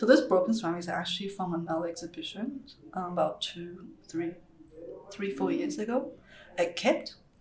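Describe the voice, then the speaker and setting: Fairly quick female speech at medium pitch with very wide pitch swings and long, frequent pauses, amid audible room echo and noticeable background noise. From Taiwan, moved to Australia as a child. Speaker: ceramic artist. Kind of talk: casual chat. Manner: hesitant, many fillers.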